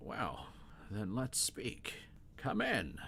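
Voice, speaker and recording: A man in a put-on character voice, with clear background noise. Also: fairly low pitch for a man. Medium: actual play. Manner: composed, polite.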